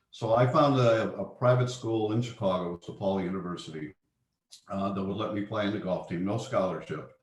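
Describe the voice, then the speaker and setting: The speaker has an American accent and a somewhat breathy voice. Pitch varies in an ordinary way. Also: man. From US Midwest. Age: 70s. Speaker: investment manager. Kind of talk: interview. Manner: halting.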